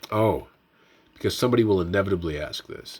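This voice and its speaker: A fairly low-pitched, somewhat breathy male voice with ordinary pitch variation. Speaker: tech youtuber, retro handheld firmware developer. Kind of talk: casual tutorial and update. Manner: fast.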